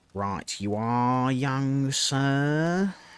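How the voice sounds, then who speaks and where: A man performs a put-on character voice at medium pitch with ordinary pitch variation. The recording is very clean, with a silent background. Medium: read story. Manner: terse.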